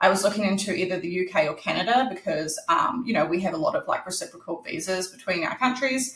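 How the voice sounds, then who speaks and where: Speaking at a fairly quick pace, a woman talks in a New Zealand accent. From New Zealand, Christchurch. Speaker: author. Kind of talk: interview. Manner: casual, many fillers.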